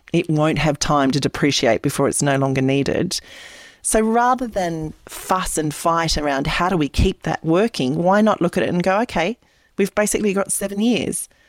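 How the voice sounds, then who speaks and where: Holding very even loudness, a woman with an Australian accent speaks at a fairly low pitch. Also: lively intonation, moderate pace. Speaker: independent political candidate. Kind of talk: interview.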